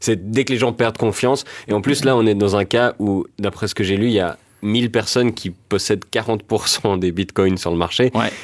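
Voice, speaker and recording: This man has a plain, everyday voice, pitched fairly low, at a moderate pace with fairly even intonation. The recording is very clean, with a silent background. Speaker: comedian. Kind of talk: satirical panel discussion.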